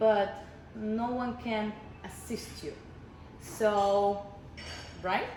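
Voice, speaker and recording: With audible room echo, a woman's fairly high voice holds a monotone, flat intonation at a very slow pace, broken by long, frequent pauses. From Russia. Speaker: midwife. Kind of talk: interview. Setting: wellness retreat in Mexico.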